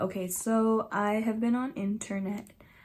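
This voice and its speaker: A woman speaks at a fairly high pitch with a dark, mellow tone. Her intonation stays fairly even, and her voice is somewhat breathy. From Nepal. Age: 20s. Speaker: beauty vlogger. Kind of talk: casual chat. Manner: casual.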